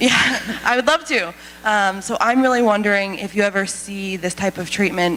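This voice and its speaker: A woman talks at a medium pitch with ordinary pitch variation. There is noticeable background noise. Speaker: audience member, clinician. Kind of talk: audience question. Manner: fast; halting.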